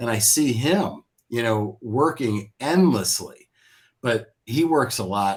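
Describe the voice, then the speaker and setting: A somewhat breathy man's voice with ordinary pitch variation, on a very clean recording with a silent background. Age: 60s. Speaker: business software entrepreneur. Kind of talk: casual chat.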